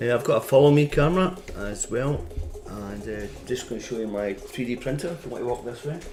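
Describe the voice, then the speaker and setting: Lively intonation carries a fairly quick delivery over noticeable background noise. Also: man, medium pitch for a man. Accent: Scottish. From Scotland. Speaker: costume maker and streamer. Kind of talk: live stream chat. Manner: casual, halting.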